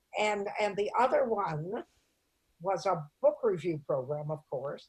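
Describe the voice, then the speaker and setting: Speaking at a fairly slow pace with an American accent, a woman with a medium-pitched, somewhat breathy voice uses lively intonation. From US Midwest, Toledo, Ohio. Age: 80s+. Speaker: comedian. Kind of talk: interview storytelling.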